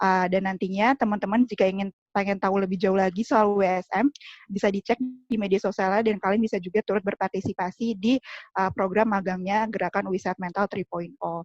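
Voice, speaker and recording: A woman's medium-pitched voice at a very fast pace, in a dry, close sound with no echo. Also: fairly even intonation. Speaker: student union chair. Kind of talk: formal welcome speech. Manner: formal, with hesitations.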